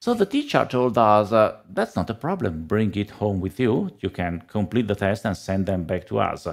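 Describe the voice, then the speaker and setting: The speaker has an Italian accent and ordinary pitch variation. The pace is moderate. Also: man, fairly low pitch for a man. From Italy. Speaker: data analytics trainer and author. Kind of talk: casual interview chat. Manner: halting.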